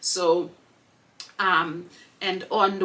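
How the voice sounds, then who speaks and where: A woman's fairly low-pitched voice. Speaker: podcast host. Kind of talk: casual monologue.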